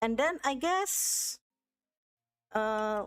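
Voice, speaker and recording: A woman with a non-native accent, close and dry with no echo, on a very clean recording against a silent background. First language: not English. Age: 30s. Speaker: art streamer. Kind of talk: casual chat. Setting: live stream. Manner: halting.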